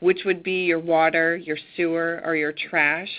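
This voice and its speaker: A woman with an American accent and an unremarkable speaking voice, fairly low in pitch, with ordinary pitch variation. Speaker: county tax official. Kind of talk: presentation on a conference call.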